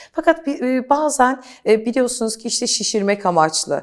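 A plain, everyday voice with lively intonation keeps to a moderate pace. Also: woman. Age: 40s. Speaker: beauty coach. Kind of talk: interview.

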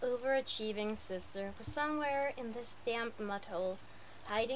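This is a natural reading voice. It is heard reading aloud.

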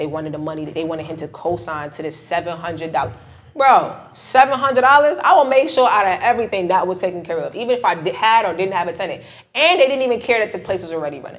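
A woman with an American accent at a very fast pace, with very wide pitch swings and big swings in loudness. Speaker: credit and travel expert, middle school teacher; middle school teacher. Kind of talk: casual podcast interview. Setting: recorded on site at a conference. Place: studio.

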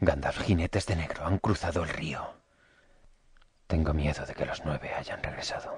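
Putting on a raspy character voice, a man speaks at a very deep, low pitch and a moderate pace with long, frequent pauses. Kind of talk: fan dub of a fantasy film.

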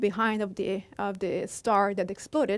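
The background is quiet. A woman speaks in an Italian accent. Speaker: astrophysics professor. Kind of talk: public science lecture. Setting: stage with audience. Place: hall.

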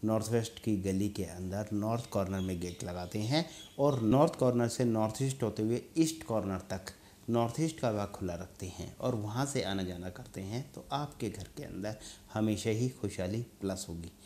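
Light background noise sits behind a man speaking at a fairly slow pace. His voice is fairly low and dark and mellow in tone, with ordinary pitch variation. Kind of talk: advice talk to camera. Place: studio. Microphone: lapel.

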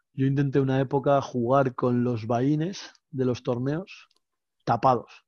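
The sound is dry with no echo, over a quiet background. A man speaks at a fairly slow pace with fairly even intonation. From Spain. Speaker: professional poker player; guest. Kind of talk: casual chat. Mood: relaxed, anecdotal. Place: home room. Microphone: headset.

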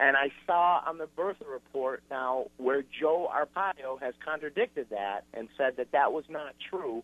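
A man with an ordinary speaking voice, fairly high in pitch, talks with hardly any pauses and ordinary pitch variation. The sound is dry with no echo. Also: fairly slow pace. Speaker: caller; radio caller. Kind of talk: radio call-in. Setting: phone call. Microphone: phone line.

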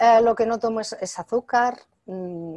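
A woman speaks at a fairly slow pace with ordinary pitch variation, in a quiet background and a dry sound with no echo. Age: 60s. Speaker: author and natural health expert; interviewee. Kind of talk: interview. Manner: hesitant with fillers. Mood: calm, friendly. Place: home room. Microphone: video call.

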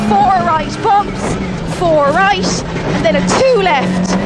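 A woman speaks over loud background noise, her voice dry with no echo. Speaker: rally co-driver. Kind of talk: rapid-fire rally pace notes called to the driver. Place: car. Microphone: helmet.

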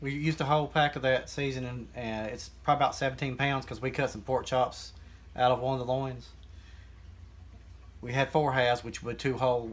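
A man speaks with fairly even intonation and a somewhat breathy quality. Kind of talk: casual tutorial. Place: kitchen. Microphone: phone near.

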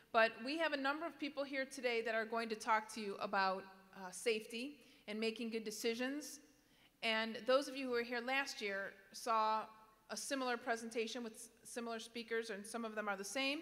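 At a fairly quick pace, a woman speaks with fairly even intonation. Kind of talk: address to students. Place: hall. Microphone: podium.

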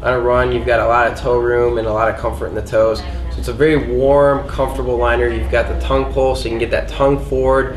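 A man speaks fast at a medium pitch, with little pitch movement. There is clear background noise.

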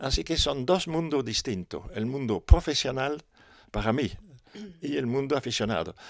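A fairly high-pitched man speaks at a fairly slow pace with lively intonation and vocal fry. The sound is dry with no echo, and the background is quiet. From Europe. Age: 70s. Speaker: motocross pioneer and organizer. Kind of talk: interview. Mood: nostalgic, calm. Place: home room. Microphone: handheld.

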